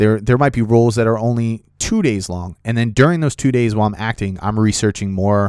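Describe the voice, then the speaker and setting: Captured in a very clean recording with a silent background and a dry, close sound with no echo, a man uses a normal speaking voice of fairly low pitch with ordinary pitch variation. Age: 30s. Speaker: podcast host and aspiring actor, Marine. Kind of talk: casual solo podcast monologue, storytelling. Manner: casual, many fillers.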